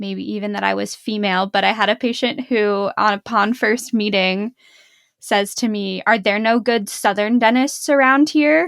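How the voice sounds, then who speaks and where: On a very clean recording with a silent background, a woman with a Pittsburgh accent speaks at a moderate pace in a fairly high pitch with ordinary pitch variation. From western Pennsylvania (Pittsburgh). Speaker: dentist, podcast co-host. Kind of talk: casual chat.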